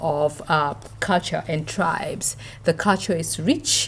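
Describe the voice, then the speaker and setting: A woman with a Namibian accent, fairly low-pitched, at a very slow pace. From northern Namibia. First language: Oshivambo. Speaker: university professor. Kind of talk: interview.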